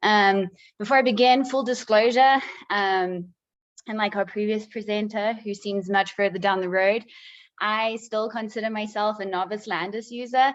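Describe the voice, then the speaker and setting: In a South African accent, a woman speaks at a moderate pace with a fairly high pitch and ordinary pitch variation over a quiet background. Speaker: PhD candidate, researcher presenting. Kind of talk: conference presentation.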